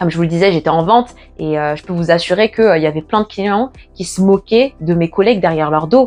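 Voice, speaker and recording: This woman speaks at a very fast pace. Her pitch is fairly low, with ordinary pitch variation. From Paris, France. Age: 20s. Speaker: natural hair YouTuber. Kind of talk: casual talk to camera.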